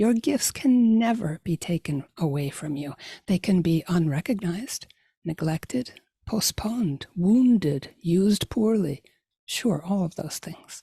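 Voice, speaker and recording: A woman with a medium-pitched, somewhat breathy voice and a dark, mellow tone talks at a fairly slow pace with lively intonation, in a dry, close sound with no echo. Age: 60s. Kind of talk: inspirational talk.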